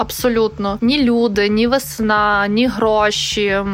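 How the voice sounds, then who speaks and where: Against noticeable background noise, a woman with a fairly high pitch talks in fairly even intonation. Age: 30s. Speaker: interviewee sharing a depression story. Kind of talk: personal testimony.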